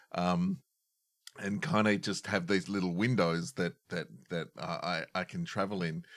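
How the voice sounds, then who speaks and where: Someone with an Australian accent speaks at a fairly slow pace with ordinary pitch variation. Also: man, fairly low pitch for a man. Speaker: podcast host and improviser. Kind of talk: casual chat. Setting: video call. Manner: jokey.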